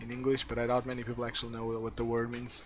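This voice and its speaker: A man speaks with a Portuguese accent. His pitch sits in the middle range. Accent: Portuguese accent, noticeable. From Portugal. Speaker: game streamer. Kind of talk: live gameplay commentary. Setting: live stream.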